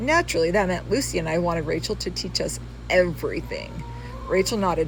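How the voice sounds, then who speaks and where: With music in the background and audible room echo, a woman speaks with an American accent. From California. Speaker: author. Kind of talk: reading aloud. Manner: casual asides.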